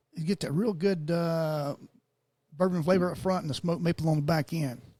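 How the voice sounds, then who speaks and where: In a Southern US accent, a man speaks at a high pitch and a fairly quick pace, with a dark, mellow tone and fairly even intonation. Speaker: podcast host. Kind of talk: casual chat.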